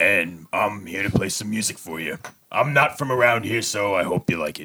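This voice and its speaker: Putting on a character voice, a man speaks raspy and fairly low at a moderate pace, with big swings in loudness. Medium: actual play. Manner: hesitant, halting, self-conscious.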